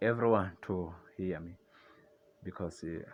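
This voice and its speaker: A man with a non-native accent talks at a fairly slow pace. His very deep, low voice comes over music in the background. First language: not English. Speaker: religious video commentator. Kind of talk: casual monologue on religion. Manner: halting, with fillers and restarts.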